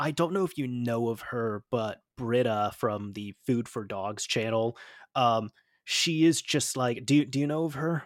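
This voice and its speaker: The man's voice sits at a medium pitch with ordinary variation. He talks at a fairly slow pace. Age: 20s. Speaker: podcast host, YouTuber. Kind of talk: casual chat. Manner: animated.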